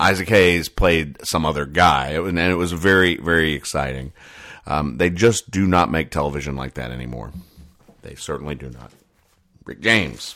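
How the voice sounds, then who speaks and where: A man with a very deep, low pitch and vocal fry has a bright, sharp tone, ordinary pitch variation and big swings in loudness. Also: moderate pace. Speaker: podcast host reading comics. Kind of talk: casual monologue reading comics. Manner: relaxed, conversational with fillers.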